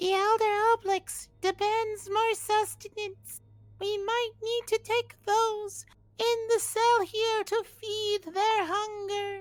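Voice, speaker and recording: This put-on character voice has an extremely high pitch and a very slow pace. Its intonation is monotone and flat. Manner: demanding.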